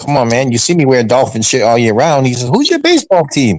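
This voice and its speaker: A plain, everyday voice from a man at medium pitch, fairly quick in pace, with lively intonation. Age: 60s. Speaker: sports fan show panelist. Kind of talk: casual chat.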